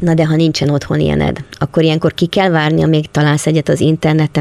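Very fast and with vocal fry, a woman's very deep, low voice carries a dark, mellow tone and fairly even intonation. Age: 60s. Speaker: podcast interviewer. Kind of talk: interview. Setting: small workshop.

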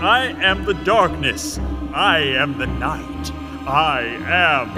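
A man uses a put-on character voice at a very slow pace. Loud music plays in the background. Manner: ominous, less scary than intended.

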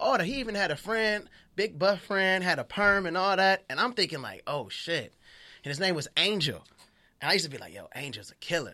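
A man projects a raised, high-pitched voice with a bright, sharp tone and lively intonation. He moves at a fairly quick pace in a very clean recording with a silent background. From Los Angeles, US. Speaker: comedian. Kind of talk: casual chat. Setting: studio. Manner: animated.

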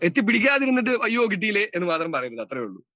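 In a dry, close recording with no echo, a man uses a raised, projected voice at a high pitch with very wide pitch swings. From Kerala, Palakkad. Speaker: radio jockey and podcaster. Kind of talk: casual interview chat.

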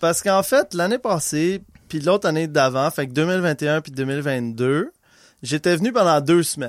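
The sound is dry and close, with no echo. A man with a fairly high pitch talks at a fairly slow pace with lively intonation. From Quebec (Laval, near Montreal). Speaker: podcast guest, musician and brewer. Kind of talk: casual chat.

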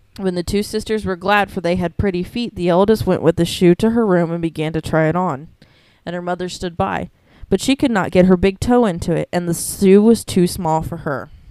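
Talking at a fairly quick pace, a woman has a fairly low pitch, a dark, mellow tone and ordinary pitch variation. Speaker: podcast host. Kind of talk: reading aloud.

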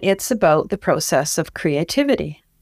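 In a very clean recording with a silent background, a woman with a normal speaking voice and fairly low pitch talks at a moderate pace. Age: 60s. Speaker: writer and creative writing teacher. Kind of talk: casual interview.

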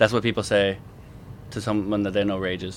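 This is a man with a fairly low-pitched voice. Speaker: gaming community moderator and veteran. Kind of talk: casual chat. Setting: podcast recording session with monitor. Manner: rarely shows emotion.

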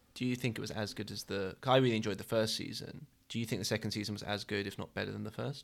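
A man's fairly low-pitched voice, very fast with hardly any pauses, with vocal fry and fairly even intonation. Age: 20s. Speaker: podcast co-host. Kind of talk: casual chat.

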